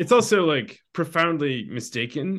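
This man has an ordinary speaking voice, fairly high in pitch, with lively intonation. He talks at a moderate pace against a quiet background. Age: 40s. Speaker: novelist. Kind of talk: casual chat.

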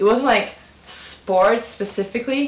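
The voice has ordinary pitch variation, with noticeable background noise and audible room echo. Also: woman. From Brazil. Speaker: podcast host. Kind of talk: casual chat.

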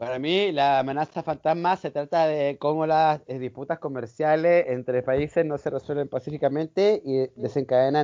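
A man talks at a moderate pace with a fairly high pitch. His pitch variation is ordinary. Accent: Chilean. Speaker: film fan guest. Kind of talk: casual chat.

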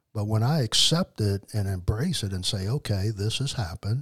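A man with an American accent talks at a moderate pace in a fairly low pitch with ordinary pitch variation, captured with a dry, close sound with no echo on a very clean recording with a silent background. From New Orleans, Louisiana. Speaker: addiction therapist in long recovery. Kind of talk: casual interview testimony.

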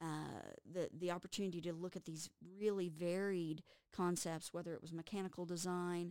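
A woman with a Texas accent speaks at a moderate pace in a fairly low voice, her intonation monotone and flat. The sound is dry and close with no echo. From Texas (Amarillo). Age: 50s. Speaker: college instructor. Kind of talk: interview.

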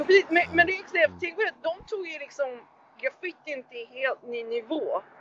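Noticeable background noise sits behind a woman whose extremely high pitch swings very widely, her loudness rising and falling sharply at a fairly slow pace. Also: dry, close sound with no echo. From Sweden, Tyresö near Stockholm. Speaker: graffiti artist. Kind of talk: casual interview. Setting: remote call over hotspot. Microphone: poor sound.

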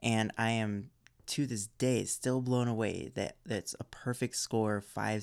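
A man speaks at a fairly low pitch and a fairly slow pace, with ordinary pitch variation and a plain, everyday voice. The recording is very clean, with a silent background. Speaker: podcast host. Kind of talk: podcast intro and outro, ad read.

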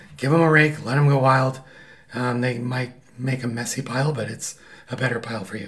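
A man with a medium pitch talks fairly quickly, his intonation fairly even, amid noticeable background noise. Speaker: husband of host, guest. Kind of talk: casual chat.

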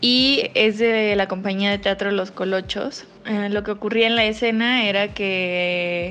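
A woman at a medium pitch, with monotone, flat intonation and a very slow pace, against a quiet background. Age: 20s. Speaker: theatre audience member. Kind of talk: voice note testimony.

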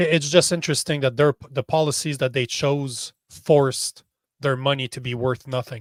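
A man with a Canadian accent talks in a normal speaking voice at a moderate pace with fairly even intonation. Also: fairly high pitch for a man. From Canada. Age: 40s. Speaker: social media strategist and podcaster. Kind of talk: interview.

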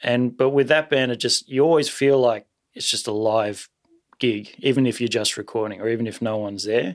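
The speaker has an Australian accent. Intonation stays fairly even. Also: man, medium pitch for a man. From Sydney, Australia. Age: 30s. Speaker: jazz drummer. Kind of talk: casual interview chat.

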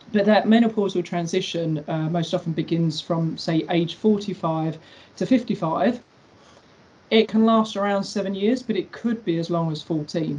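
Speaking fairly slowly, a woman has a dark, mellow tone that is somewhat breathy, with ordinary pitch variation. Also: medium pitch for a woman. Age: 40s. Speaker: personal trainer. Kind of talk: casual chat.

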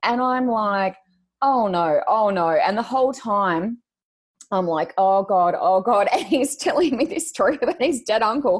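In an Australian accent, a woman speaks at a fairly slow pace. Her fairly high pitch makes very wide swings. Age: 40s. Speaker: podcast co-host and psychic reader. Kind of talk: casual interview. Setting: video call.

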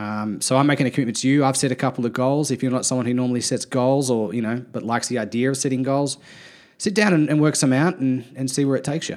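A man's medium pitch shows ordinary variation as he speaks at a very fast pace. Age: 30s. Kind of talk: casual chat.

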